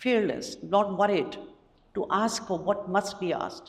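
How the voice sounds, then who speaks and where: A woman's voice with audible room echo. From Pakistan, Lahore. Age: 60s. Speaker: educator and activist. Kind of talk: conference talk. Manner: emphatic.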